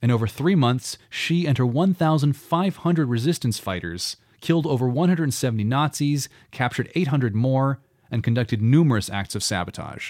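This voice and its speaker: A man with an unremarkable speaking voice and medium pitch talks at a fairly quick pace with lively intonation on a very clean recording with a silent background. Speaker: podcast host. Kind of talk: history documentary narration with scripted read-out, steady and dramatic. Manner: measured, clear, storytelling delivery.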